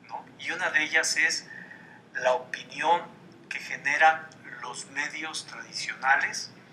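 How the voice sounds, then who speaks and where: Over noticeable background noise, a man talks at a very slow pace with a fairly high pitch and fairly even intonation. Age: 60s. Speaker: columnist and political commentator. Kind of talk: TV interview.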